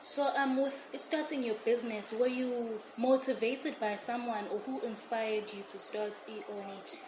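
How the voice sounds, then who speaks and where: With noticeable background noise and audible room echo, a woman speaks at a moderate pace and high pitch, hardly pausing, her pitch varying normally while her loudness swings widely. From South Africa, Pietermaritzburg. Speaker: co-host. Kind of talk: interview.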